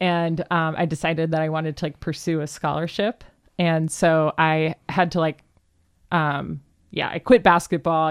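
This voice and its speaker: In a very clean recording with a silent background, a woman with an American accent speaks at a moderate pace in a very deep, low pitch with monotone, flat intonation. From Cleveland, Ohio, US Midwest. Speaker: DJ, producer and vocalist. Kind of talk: casual interview chat.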